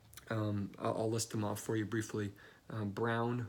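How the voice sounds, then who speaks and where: Quiet and monotone, a man speaks at a fairly low pitch with flat intonation. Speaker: fantasy football analyst. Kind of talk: casual video commentary. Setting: office. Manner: hesitant, many fillers.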